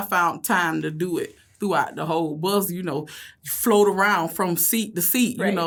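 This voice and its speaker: With a Southern US accent, a woman speaks at medium pitch and a moderate pace with ordinary pitch variation. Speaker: school bus driver. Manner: casual, chatty.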